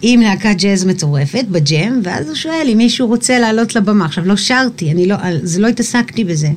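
A woman at medium pitch, fairly quick pace and lively intonation, against noticeable background noise. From Israel, Eilat. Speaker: singer. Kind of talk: casual chat.

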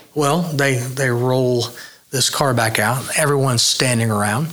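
At a fairly slow pace, a man talks at a medium pitch, with audible room echo and noticeable background noise. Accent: American. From Oklahoma, Midwest City. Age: 50s. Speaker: custom car builder. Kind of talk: casual interview chat.

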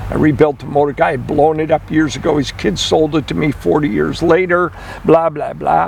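A man speaks at a moderate speed in a fairly high voice while noticeable noise runs in the background. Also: ordinary pitch variation. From US Midwest. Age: 70s. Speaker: classic car collector and restorer. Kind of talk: casual radio interview.

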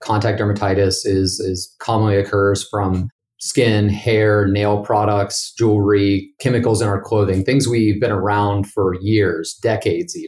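Speaking in an American accent with hardly any pauses, a man has a fairly low, somewhat breathy voice, fairly even intonation and a fairly slow pace. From West Virginia. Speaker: dermatologist. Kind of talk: interview.

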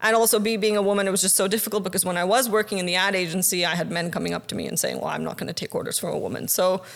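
A woman at a medium pitch rushes along very fast with hardly any pauses, using fairly even intonation and vocal fry. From Pakistan. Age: 30s. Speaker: filmmaker and producer. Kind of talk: casual interview.

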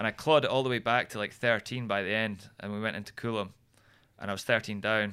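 At a very fast pace, a man talks with fairly low pitch and a bright, sharp tone on a very clean recording with a silent background. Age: 30s. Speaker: former motocross racer and bike builder. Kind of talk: casual chat. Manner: animated.

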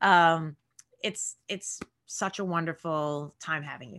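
A woman with a New York accent has a bright, sharp tone on a very clean recording with a silent background. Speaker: podcast host and actor. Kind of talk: casual interview.

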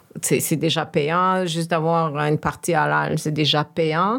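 A woman with an ordinary speaking voice talks at a fairly low pitch and a fairly slow pace, her intonation fairly even. The recording is very clean, with a silent background. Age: 40s. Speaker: professional speaking on systemic racism. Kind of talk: casual conversation.

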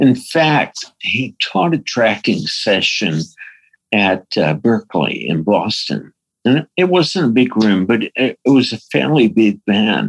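In a dry, close sound with no echo, a man with an American accent speaks at a very slow pace and a medium pitch, with very wide pitch swings and vocal fry. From New York. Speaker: recording and mix engineer. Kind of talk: interview. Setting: remote call from his studio.

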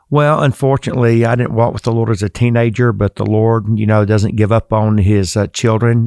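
A man with a Southern US accent speaks at a moderate pace and medium pitch, with hardly any pauses. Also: dry, close sound with no echo. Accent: Southern American. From US South. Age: 60s. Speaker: seminary president and preacher. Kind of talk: interview.

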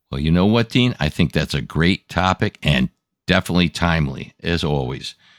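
Lively intonation and vocal fry from a man at a moderate pace, recorded dry and close with no echo. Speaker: co-host. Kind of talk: casual professional discussion.

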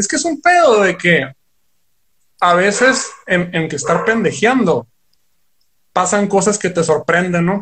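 At a fairly slow pace, a man with a high pitch and lively intonation speaks with long, frequent pauses. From Sonora, Mexico (Ciudad Obregón). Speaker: rock guitarist. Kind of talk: casual chat.

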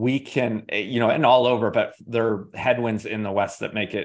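Fairly even intonation runs through a normal speaking voice. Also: man. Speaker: positive psychology researcher. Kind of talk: interview podcast conversation.

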